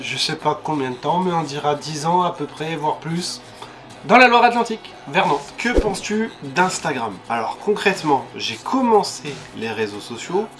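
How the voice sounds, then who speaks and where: A man speaks slowly-ish at a fairly high pitch, with very wide pitch swings. Music is heard in the background. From France (Landes) and Réunion. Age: 30s. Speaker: YouTuber. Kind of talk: casual FAQ vlog. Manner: hesitant with fillers.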